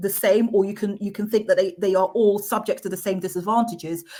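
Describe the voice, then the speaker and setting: A woman with a fairly high, somewhat breathy voice and a dark, mellow tone speaks with fairly even intonation. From Manchester, northern England. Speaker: equality and diversity expert, councillor. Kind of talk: interview. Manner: some stammering and repeated words.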